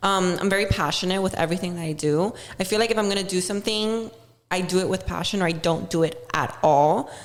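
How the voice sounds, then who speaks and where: A very fast-talking woman with a Miami accent, over noticeable background noise. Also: medium pitch for a woman, ordinary pitch variation. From Miami, Florida (Cuban-American family). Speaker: social media influencer. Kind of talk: casual chat.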